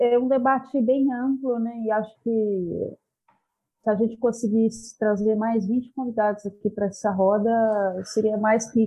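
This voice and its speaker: Fairly high in pitch, a woman's voice stays monotone with flat intonation and very even loudness at a fairly slow pace. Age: 30s. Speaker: university student. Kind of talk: casual discussion.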